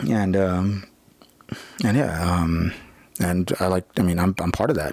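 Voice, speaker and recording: A man's very deep, low voice at a fairly slow pace over noticeable background noise. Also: fairly even intonation. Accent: American. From California. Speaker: vlogger. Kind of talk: personal monologue vlog. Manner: halting, many fillers; loud, aggressive.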